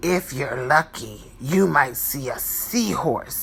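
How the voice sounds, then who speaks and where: A growling, put-on character voice at a low-to-middle pitch moves at a fairly slow pace over clear background noise. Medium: read story. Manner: friendly, informative.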